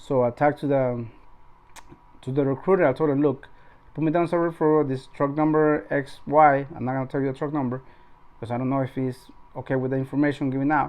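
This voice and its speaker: A man with a non-native accent speaks very fast at a fairly high pitch in a flat monotone. He leaves long, frequent pauses. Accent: non-native English accent, noticeable. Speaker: truck driver and YouTuber. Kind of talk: casual vlog talk. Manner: halting, many repetitions.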